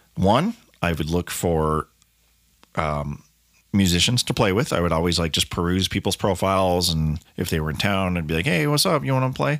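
With an American accent, a man talks in a very deep, low pitch and lively intonation. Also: moderate pace. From Colorado, US. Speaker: musician and podcast host. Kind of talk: casual solo monologue.

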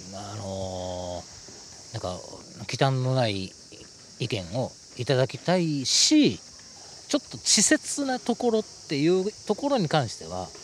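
At a very slow pace, the voice shows very wide pitch swings and big swings in loudness over noticeable background noise. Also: man, medium pitch for a man. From Osaka, Japan (Umeda). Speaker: author. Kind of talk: casual interview chat. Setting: outdoors on a park bench.

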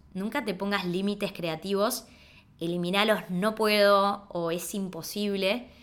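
A woman speaks with a plain, everyday voice at a medium pitch. Her pace is fairly slow and her intonation fairly even. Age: 30s. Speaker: podcast host and entrepreneur. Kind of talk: personal storytelling monologue.

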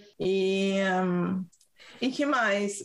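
A woman speaks with a São Paulo accent. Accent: São Paulo Brazilian Portuguese. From Brazil, São Paulo. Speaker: podcast co-host. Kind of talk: casual chat. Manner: animated.

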